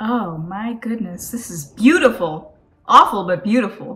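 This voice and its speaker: A woman is speaking. Her pitch shows ordinary variation. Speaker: reaction video host. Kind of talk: casual reaction commentary. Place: home room. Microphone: earbuds.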